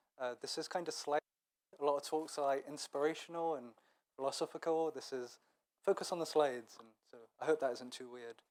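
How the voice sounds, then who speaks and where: Speaking at a fairly quick pace with long, frequent pauses, a man with a fairly high pitch keeps his intonation fairly even while his loudness swings widely. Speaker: web developer, conference speaker. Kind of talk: conference talk. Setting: stage with audience. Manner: hesitant, many fillers.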